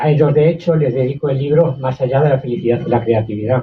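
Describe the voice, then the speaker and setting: Somewhat breathy, a man speaks at a very fast pace with ordinary pitch variation. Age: 80s+. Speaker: author. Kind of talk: book presentation talk.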